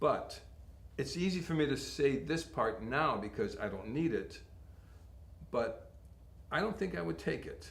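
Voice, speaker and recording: A man with an American accent talks at a fairly slow pace. He leaves long, frequent pauses, and the room echo is audible. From Connecticut, US. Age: 60s. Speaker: model and actor. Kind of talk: interview.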